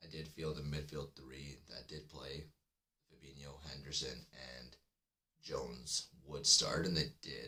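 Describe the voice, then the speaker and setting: Very deep and low, a man's bright, sharp voice carries vocal fry and big swings in loudness, moving at a fairly slow pace in a flat monotone. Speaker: football podcast host. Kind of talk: live stream fan chat. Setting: live stream. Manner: kept deliberately low.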